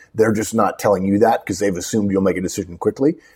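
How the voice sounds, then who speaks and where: This voice belongs to a man. It sounds somewhat breathy. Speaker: career advice podcast host. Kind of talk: advice talk, conversational. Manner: emphatic, opinionated.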